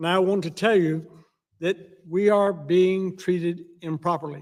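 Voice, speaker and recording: Monotone, flat intonation at a moderate pace, in a Southern US accent. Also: man. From US South, Alabama. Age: 70s. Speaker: war veteran. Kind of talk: testimony.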